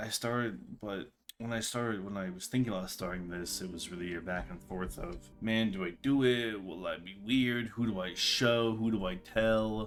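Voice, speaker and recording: A man mumbles at a moderate pace with a fairly low pitch and ordinary pitch variation. Music plays in the background. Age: 20s. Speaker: vlogger. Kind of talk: casual talk to camera. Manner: mumbling.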